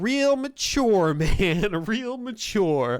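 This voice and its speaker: A man's whiny, put-on character voice, high-pitched, with very wide pitch swings. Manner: sarcastic, complaining.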